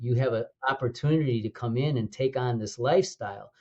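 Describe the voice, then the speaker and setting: A man with an American accent talks at a moderate pace and medium pitch, with ordinary pitch variation and a somewhat breathy quality. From US Midwest, Chicago. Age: 70s. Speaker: naturopathic doctor and school co-founder. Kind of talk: podcast interview. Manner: animated.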